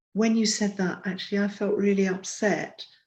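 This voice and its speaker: Against a quiet background, a woman with a somewhat breathy, dark, mellow tone speaks at a moderate pace in a medium pitch. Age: 70s. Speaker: relationship counselor and psychotherapist. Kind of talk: interview.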